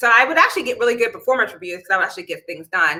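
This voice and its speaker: A woman's bubbly, animated voice with an American accent, fairly high and bright with a sharp edge, swinging very widely in pitch. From Pittsburgh, Pennsylvania. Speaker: chemical engineer and livestream host. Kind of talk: casual livestream talk. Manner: loud.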